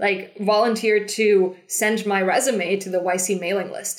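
Speaking with a German accent, a woman keeps a fairly slow pace and fairly even intonation. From Germany. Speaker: startup founder and CEO. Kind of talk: interview. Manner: halting.

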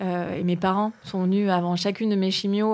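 The recording is very clean, with a silent background. The delivery is monotone, with flat intonation. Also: woman. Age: 40s. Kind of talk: casual conversation.

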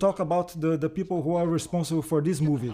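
A man speaks with a Portuguese accent. His dark, mellow tone sits at a fairly high pitch. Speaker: film historian. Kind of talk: DVD commentary track. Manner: halting, frequent fillers and repetitions.

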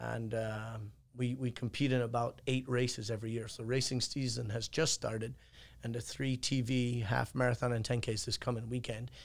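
Flat and monotone, a man with an Irish accent talks at medium pitch and a moderate pace. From Ireland. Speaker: martial arts coach and gym owner. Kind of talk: casual chat.

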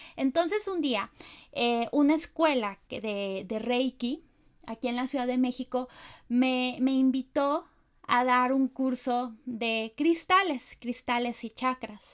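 A woman's high voice at a very slow pace, with ordinary pitch variation, on a very clean recording with a silent background. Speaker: spiritual teacher and podcast host. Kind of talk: casual teaching monologue. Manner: hesitant with filler repetitions.

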